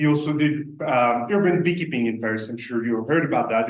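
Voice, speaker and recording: Fairly quickly, a man with a French accent talks with ordinary pitch variation. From France. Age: 30s. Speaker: beekeeping business owner. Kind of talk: presentation to a club meeting. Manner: hesitant, many filler sounds.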